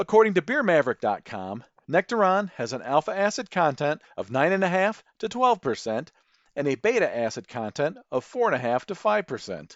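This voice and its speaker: Fairly quick speech with very wide pitch swings. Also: man, high pitch for a man. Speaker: beer podcast host. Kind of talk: scripted narration. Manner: formal.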